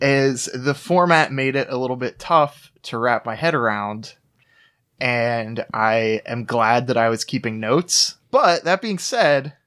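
On a very clean recording with a silent background, a man has an unremarkable speaking voice at a medium pitch with ordinary pitch variation. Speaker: podcast guest. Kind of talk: casual chat.

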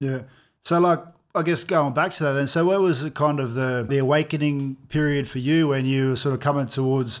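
An ordinary speaking voice moves at a fairly quick pace with fairly even intonation in a very clean recording with a silent background. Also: man, fairly high pitch for a man. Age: 30s. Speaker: podcast host. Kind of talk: casual interview chat.

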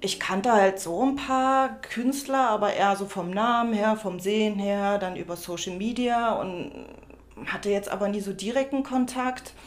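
Speaking fairly slowly, a woman uses a normal speaking voice at a fairly high pitch with ordinary pitch variation. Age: 30s. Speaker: upcycling artist. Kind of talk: interview.

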